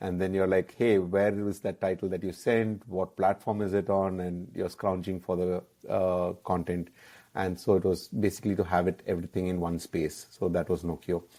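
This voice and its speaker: A man with a Keralan accent speaks in a very deep, low pitch with a dark, mellow tone and monotone, flat intonation. The recording is very clean, with a silent background. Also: moderate pace. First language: Malayalam. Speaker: app founder, entrepreneur. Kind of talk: interview. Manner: hesitant, many fillers.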